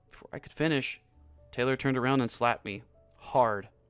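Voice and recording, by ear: With fairly even intonation, someone is reading aloud in a natural voice.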